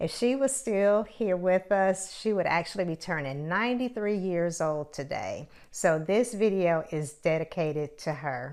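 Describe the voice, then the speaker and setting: A woman with an American accent and a normal speaking voice, medium pitch and lively intonation, against a quiet background. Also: hardly any pauses. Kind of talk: casual talk to camera.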